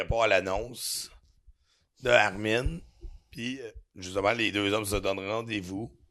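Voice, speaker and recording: A man talks with a Quebec accent. His tone comes across bright and sharp. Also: quiet background. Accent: Québécois French. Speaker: butcher. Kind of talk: casual chat.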